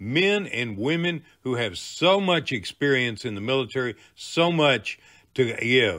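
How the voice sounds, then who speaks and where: Using a medium pitch, a man speaks with very wide pitch swings. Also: fairly slow pace. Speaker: veteran and show host. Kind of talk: show trailer narration.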